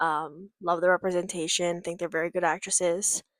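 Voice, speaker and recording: A woman's voice at a moderate pace, dry and close with no echo. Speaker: therapist and new vlogger. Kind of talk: casual vlog chat.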